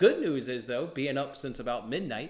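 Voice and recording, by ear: A man with a medium pitch talks at a moderate pace, his intonation lively.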